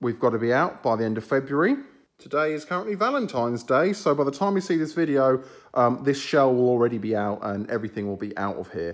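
A man at a very fast pace with very wide pitch swings, over a quiet background. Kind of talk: casual vlog narration. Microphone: phone near.

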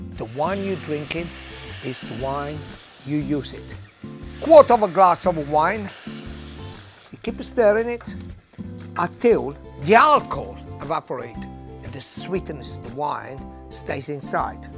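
A man speaks at a fairly slow pace with long, frequent pauses. Clear music plays behind him, and the sound is dry with no echo. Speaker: presenter. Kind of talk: cooking tutorial. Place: street.

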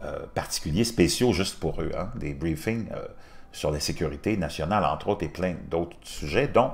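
The speaker is a man. He keeps a moderate pace, and his pitch moves in a lively way. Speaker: news commentator youtuber. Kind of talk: commentary.

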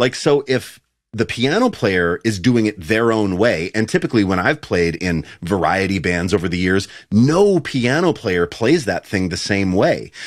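A man with a fairly low pitch and an unremarkable speaking voice talks at a moderate pace with lively intonation. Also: quiet background. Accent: American. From United States. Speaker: bass player and podcast host. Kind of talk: casual chat. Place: home room.

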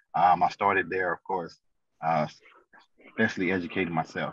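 Against a quiet background, a man with an American accent talks at a moderate pace in dry sound with no echo. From St. Louis, Missouri; Missouri. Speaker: financial consultant; podcast guest. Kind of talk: interview. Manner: halting, many fillers. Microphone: video call.

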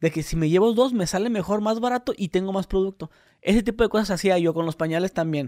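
A man speaks at a very fast pace in a high voice with ordinary pitch variation against a quiet background. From Mexicali, Baja California, Mexico. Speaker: podcast co-host. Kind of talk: casual chat. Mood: relaxed, joking storytelling. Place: home room. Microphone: studio mic.

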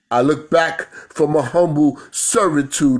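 Speaking at a very slow pace, a man with a New York accent has a fairly high pitch. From New York City. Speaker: spoken word poet. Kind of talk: spoken word performance. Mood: reflective, proud, spiritual. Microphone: phone near.

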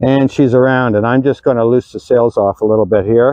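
With a dark, mellow tone and a medium pitch, a man speaks fairly quickly in fairly even intonation, the sound dry and close with no echo.

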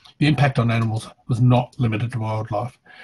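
A man with an Australian accent speaks fairly quickly in a monotone, flat intonation, sounding somewhat breathy. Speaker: environmental scientist and academic. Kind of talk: pre-recorded presentation. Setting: video call. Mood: somber, concerned. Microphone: headset.

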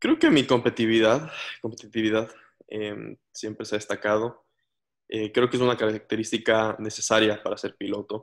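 The voice holds a flat, monotone intonation at a moderate pace. The background is quiet. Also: man. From Ecuador. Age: 20s. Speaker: racing driver; interviewee. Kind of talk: interview. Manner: halting, many fillers. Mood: relaxed, reflective, sometimes cheerful. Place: home room. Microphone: video call.

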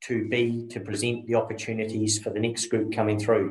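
A man with a New Zealand accent talks at a moderate pace in a somewhat breathy voice. The background is quiet, with audible room echo. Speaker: dairy farmer; conference presenter. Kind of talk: conference presentation. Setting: video call. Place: office. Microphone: video call.

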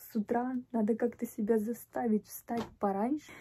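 This voice is somewhat breathy, moves at a fairly slow pace and has ordinary pitch variation. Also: woman. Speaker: vlogger. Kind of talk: casual vlog chat. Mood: happy, grateful. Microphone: phone near.

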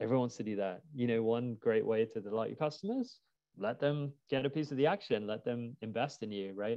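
Against a quiet background, a man with a British accent speaks at a fairly quick pace. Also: ordinary pitch variation. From UK. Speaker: crowdfunding platform executive. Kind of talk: webinar interview. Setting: video call. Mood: relaxed, friendly. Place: home room. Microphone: earbuds.

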